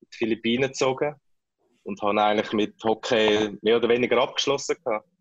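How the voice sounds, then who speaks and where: Recorded with a dry, close sound and no echo, a man speaks at a moderate pace in a normal speaking voice, with a medium pitch and fairly even intonation. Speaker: ice hockey player, national team captain. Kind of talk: interview.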